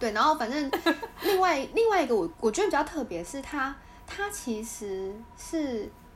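Noticeable background noise sits under a voice with very wide pitch swings. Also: woman, high pitch for a woman, moderate pace. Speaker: podcast co-host. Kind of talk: casual chat.

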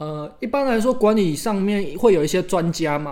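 A man with a plain, everyday voice, lively intonation, and a moderate pace. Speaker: podcast co-host. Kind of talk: casual chat.

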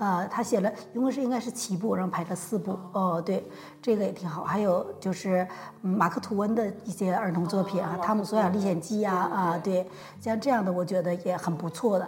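A woman talks in a plain, everyday voice at medium pitch, with fairly even intonation and a fairly quick pace. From Changchun, northeast China. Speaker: university Chinese professor. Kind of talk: casual interview.

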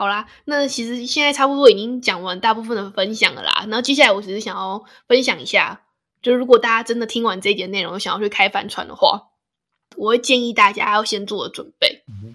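Bright and sharp in tone, a woman speaks fairly high and fairly quickly, with ordinary pitch variation and big swings in loudness. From Taiwan, Hsinchu. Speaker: podcast host. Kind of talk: casual chat.

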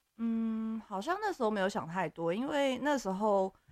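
On a very clean recording with a silent background, a woman speaks with lively intonation at a moderate pace. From Taiwan. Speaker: expat office worker. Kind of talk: casual chat.

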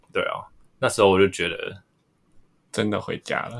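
The pace is fairly quick. The recording is very clean, and the background is silent. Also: man. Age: 20s. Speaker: freelance artist. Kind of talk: casual chat.

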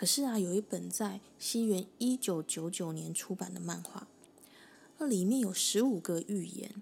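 At a moderate pace, a woman talks in a somewhat breathy voice at medium pitch with ordinary pitch variation. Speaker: podcast host. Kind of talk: solo explainer monologue.

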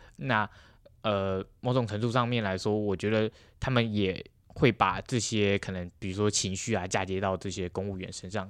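The speaker has an unremarkable speaking voice. The pace is moderate. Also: man, very clean recording, silent background. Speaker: university student intern. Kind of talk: interview.

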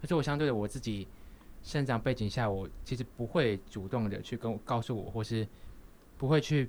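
With a medium pitch and ordinary pitch variation, a man talks at a moderate pace. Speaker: podcast co-host, university student. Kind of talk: casual chat. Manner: halting.

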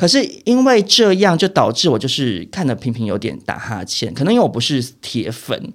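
With vocal fry and very wide pitch swings, the voice keeps a moderate pace with hardly any pauses, in a very clean recording with a silent background. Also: man, fairly high pitch for a man. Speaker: entertainment gossip podcast co-host, behind-the-scenes entertainment industry worker. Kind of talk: casual chat.

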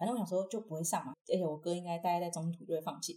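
A woman talks at a very fast pace. Her tone is dark and mellow, and somewhat breathy. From Taiwan, Taichung. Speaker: university student and acrobat. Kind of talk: casual interview.

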